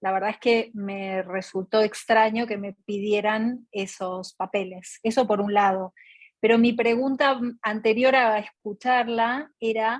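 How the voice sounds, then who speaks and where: In a dry, close sound with no echo, a woman talks fairly slowly at a fairly high pitch, keeping her intonation fairly even. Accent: Argentine. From Argentina. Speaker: artist, audience participant. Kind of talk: question in online Q&A session.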